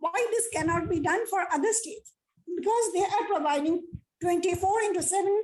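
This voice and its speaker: A woman's extremely high-pitched voice, fairly quick pace and ordinary pitch variation. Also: very even loudness. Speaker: academic speaker at agriculture meeting. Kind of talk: formal presentation at online meeting. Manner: fast.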